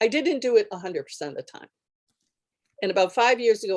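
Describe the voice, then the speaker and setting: The recording is dry and close-up, free of any echo. A woman talks, her intonation lively. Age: 60s. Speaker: political candidate. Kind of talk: panel talk. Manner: animated.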